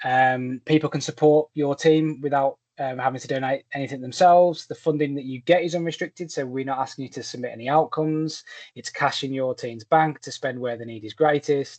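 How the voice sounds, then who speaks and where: The speaker has a Birmingham accent. The pace is fairly quick. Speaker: fundraising platform partnership rep. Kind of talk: online presentation. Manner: many filler words, hesitant.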